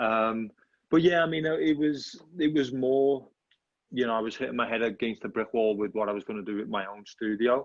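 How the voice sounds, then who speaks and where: A man with a Liverpool accent speaks at a fairly quick pace, medium in pitch, with ordinary pitch variation. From England, Liverpool. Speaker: headshot photographer. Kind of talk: casual interview chat.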